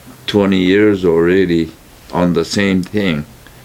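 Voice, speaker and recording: Over noticeable background noise, someone with an American accent speaks at a very slow pace with fairly even intonation. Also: man. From California. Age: 80s+. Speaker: retired produce store owner. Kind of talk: oral history interview. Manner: halting, many fillers.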